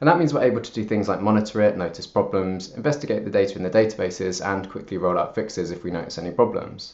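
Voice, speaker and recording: Speaking at a fairly quick pace, a man with a fairly low pitch talks with a British accent. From United Kingdom. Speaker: software engineer. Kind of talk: conference talk.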